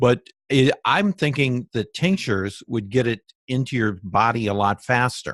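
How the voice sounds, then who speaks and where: A man's ordinary speaking voice, medium-pitched, at a moderate pace with lively intonation, dry and close with no echo. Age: 60s. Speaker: interviewer on alternative health. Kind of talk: interview.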